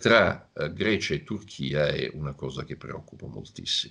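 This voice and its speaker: A man with a very deep, low pitch talks at a fairly slow pace, his bright, sharp tone carrying lively intonation and vocal fry. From Italy. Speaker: security analyst, professor. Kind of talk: interview answers. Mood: relaxed, analytical. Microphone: video call.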